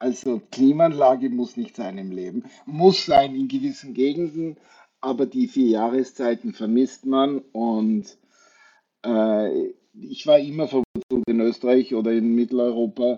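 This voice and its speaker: At a fairly slow pace, a man with a plain, everyday voice speaks with ordinary pitch variation. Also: medium pitch for a man. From Austria, Wachau (Lower Austria). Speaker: hotel group sales executive. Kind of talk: radio interview.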